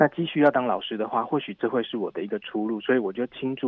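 A man with an unremarkable speaking voice, medium pitch and ordinary pitch variation. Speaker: English teacher. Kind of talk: interview.

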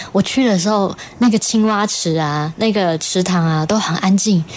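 Woman's medium-pitched voice at a fairly slow pace, ordinary pitch variation, over noticeable background noise. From Taiwan, Puli, Nantou. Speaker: singer and electronic musician. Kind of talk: interview, casual chat. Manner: animated.

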